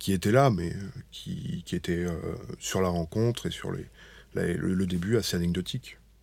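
Speaking at a moderate pace, a man with a very deep, low pitch is heard on a very clean recording with a silent background. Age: 30s. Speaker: general practitioner and patient's husband. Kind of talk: testimony. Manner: halting.

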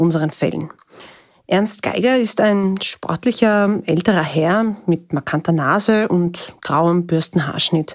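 Here is a woman with a fairly low pitch. She talks at a fairly slow pace, her intonation fairly even. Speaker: reporter. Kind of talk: narrated field reporting. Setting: outdoors on location.

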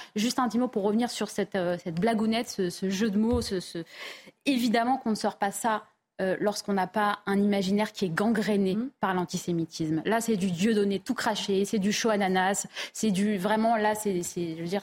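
A woman's plain, everyday voice at medium pitch and a moderate pace, with fairly even intonation, on a very clean recording with a silent background. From France, Paris suburbs (Val-d'Oise). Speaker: journalist and author. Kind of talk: TV panel debate. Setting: TV studio.

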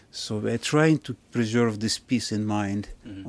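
A man speaks with a Russian accent. His pitch varies in an ordinary way. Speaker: ship captain. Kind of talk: interview. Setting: on board a ship.

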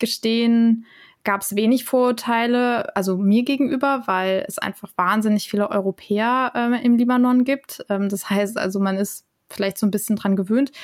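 An unremarkable speaking voice from a woman, fairly high in pitch, at a fairly slow pace with fairly even intonation, on a very clean recording with a silent background. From Germany. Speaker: intercultural trainer and lecturer. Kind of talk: casual interview.

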